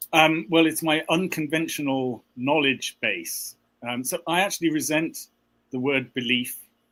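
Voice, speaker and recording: In a British accent, a man talks with fairly even intonation. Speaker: conspiracy commentator. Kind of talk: casual panel discussion.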